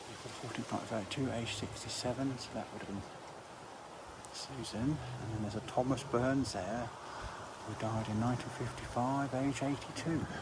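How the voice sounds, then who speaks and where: A quiet man's voice at a medium pitch and fairly quick pace, fairly even in intonation, with long, frequent pauses, audible room echo and noticeable background noise. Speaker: graveyard vlogger. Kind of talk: walking vlog, reading gravestones. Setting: outdoors in a churchyard. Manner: quiet, hushed.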